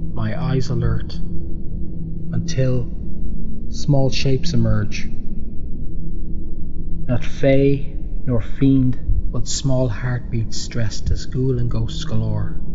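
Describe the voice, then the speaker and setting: A man's very slow speech over noticeable background noise. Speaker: animator and poet. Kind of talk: poetry reading. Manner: slow, atmospheric.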